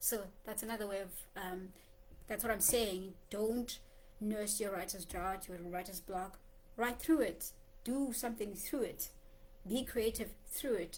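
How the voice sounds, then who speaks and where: With a South African accent, a woman speaks at a medium pitch and fairly even intonation in a room with audible echo. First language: Xhosa. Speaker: poet and writer vlogger. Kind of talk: casual vlog monologue. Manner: conversational with many fillers.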